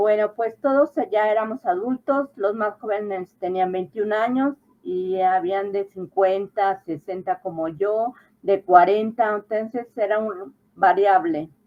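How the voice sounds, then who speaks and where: This woman talks at a very slow pace. Her voice is medium in pitch with ordinary pitch variation. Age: 60s. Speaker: adult high school graduate. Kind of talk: interview.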